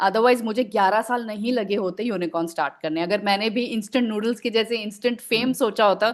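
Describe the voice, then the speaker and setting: A woman's fairly high voice, a normal speaking voice, with ordinary pitch variation and a moderate pace. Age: 40s. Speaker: writer and editor. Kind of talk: podcast interview answer.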